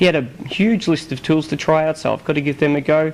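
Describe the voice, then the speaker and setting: A man with an Australian accent at a very fast pace, with noticeable background noise. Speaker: video blogger reporting on a tech conference. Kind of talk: casual chat.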